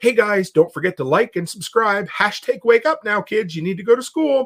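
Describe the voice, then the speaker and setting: Speaking at a moderate pace, a man puts on a character voice pitched high. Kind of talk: influencer sales-pitch style. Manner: artificially cheery, upbeat.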